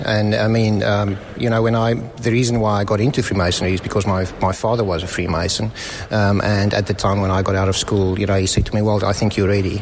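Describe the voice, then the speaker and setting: In a South African accent, a man speaks fairly quickly with monotone, flat intonation and very even loudness, with noticeable background noise behind him. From South Africa, Johannesburg. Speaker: visiting Freemason. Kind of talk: casual interview. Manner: hesitant, many fillers.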